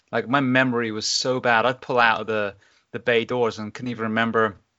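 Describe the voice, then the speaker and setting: In an English accent, a man talks at a fairly quick pace with monotone, flat intonation. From England. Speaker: firefighter and podcaster. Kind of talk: interview conversation. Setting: recording from home during isolation.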